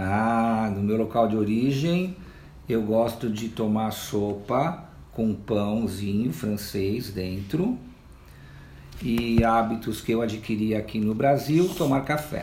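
A man talks very slowly at medium pitch with ordinary pitch variation. The room echo is audible. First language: not Portuguese (speaking Portuguese). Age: 80s. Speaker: elderly immigrant interviewee. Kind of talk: interview answers.

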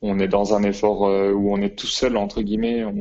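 The man's voice is fairly low in pitch, and he speaks at a fairly slow pace. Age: 20s. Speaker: athlete and physiotherapist. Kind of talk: interview.

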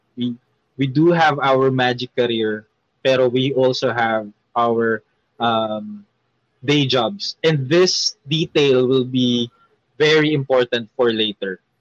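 A man at medium pitch with a Filipino accent, very slow pace, long, frequent pauses, ordinary pitch variation and a dry, close sound with no echo. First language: Tagalog. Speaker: magician. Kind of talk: casual chat. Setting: live stream.

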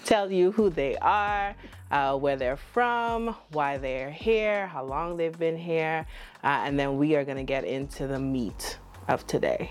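Music plays behind a woman with an American accent. Her pace is fairly slow and her intonation lively. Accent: Bahamian with some American. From The Bahamas. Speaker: podcast host. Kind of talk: casual chat. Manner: animated, joking.

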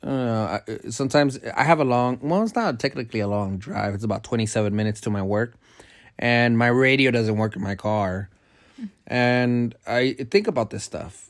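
A man with a normal speaking voice talks at a medium pitch and moderate pace, with ordinary pitch variation. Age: 30s. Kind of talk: casual chat. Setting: home recording at midnight.

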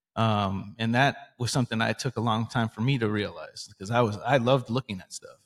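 A man with a plain, everyday voice talks at a fairly quick pace with hardly any pauses, big swings in loudness and fairly even intonation, the sound dry and close with no echo in a very clean recording with a silent background. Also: medium pitch for a man. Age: 40s. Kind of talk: casual faith discussion.

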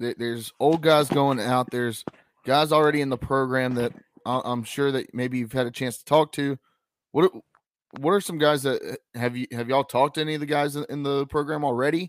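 A man with an American accent and an unremarkable speaking voice, fairly high in pitch, at a fairly quick pace with fairly even intonation, in a dry, close sound with no echo. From North Carolina, Piedmont Triad (Lexington). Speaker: sports podcast host. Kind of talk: casual chat and interviews.

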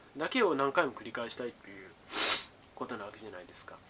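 Using lively intonation, a man speaks at a very fast pace. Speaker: educational YouTuber, former tutor. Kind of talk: casual solo talk on data science.

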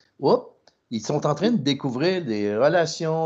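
Against a quiet background, a man speaks very slowly with ordinary pitch variation. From Trois-Rivières, Quebec. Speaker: podcast co-host, marketing executive. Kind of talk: podcast interview.

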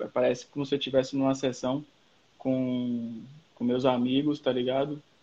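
Speaking at a moderate pace, a man with a medium pitch keeps a monotone, flat intonation. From Salvador, Bahia, Brazil. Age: 30s. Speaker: skateboarder and marketing professional. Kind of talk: casual chat.

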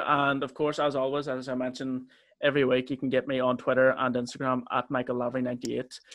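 Here a man speaks with a Northern Irish accent. His intonation is monotone and flat. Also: medium pitch for a man. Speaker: podcast host. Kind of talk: casual chat.

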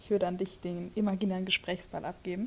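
A woman speaks at a moderate pace in a medium-pitched, somewhat breathy voice with flat, monotone intonation. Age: 20s. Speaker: theology student and podcast co-host. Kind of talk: casual chat.

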